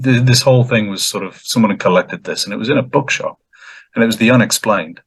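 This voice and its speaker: A somewhat breathy voice at a very fast pace. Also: man, medium pitch for a man, ordinary pitch variation. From northern England (Merseyside, Runcorn/Cheshire). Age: 40s. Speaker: artist. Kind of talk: casual interview chat.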